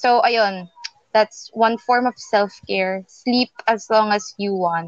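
Recorded dry and close with no echo, a woman with a fairly high pitch talks at a very slow pace with ordinary pitch variation. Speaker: podcast co-host. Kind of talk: casual chat.

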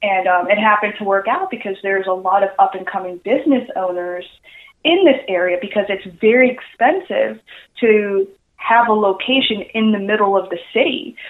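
The speaker has a normal speaking voice and an American accent. The pace is moderate, with ordinary pitch variation. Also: woman, medium pitch for a woman. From New York (Queens). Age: 20s. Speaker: cosplayer and marketer. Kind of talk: interview. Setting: phone call.

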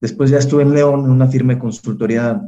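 Speaking in a Mexican accent, a man has a dark, mellow tone. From Mexico, Salamanca (Guanajuato). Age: 20s. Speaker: political candidate. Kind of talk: interview.

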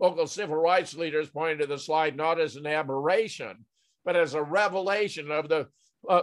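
Delivered at a moderate pace with fairly even intonation, this is a plain, everyday voice. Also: man, quiet background. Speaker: podcast host. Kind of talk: news commentary discussion. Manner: measured, formal.

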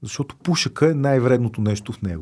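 At a moderate pace, a man talks in a somewhat breathy voice of medium pitch. The recording is very clean with a silent background. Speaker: drug policy activist, organization founder. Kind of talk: casual interview chat.

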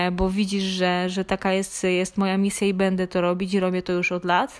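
On a very clean recording with a silent background, a woman at medium pitch speaks in a monotone, flat intonation. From Poland, Lesser Poland (Małopolska). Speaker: online fitness coach. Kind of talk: personal story monologue. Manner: halting, with filler sounds.

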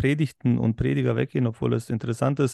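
A man speaks with vocal fry. The sound is dry and close with no echo, over a quiet background. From Berlin, Germany. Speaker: pastor and podcast host. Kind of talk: casual chat.

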